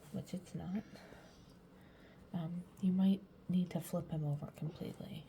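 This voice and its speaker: Soft-spoken and monotone, a woman with a fairly low pitch talks at a moderate pace in flat intonation, leaving long, frequent pauses. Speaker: caregiver. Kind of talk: tutorial. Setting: bedroom at home.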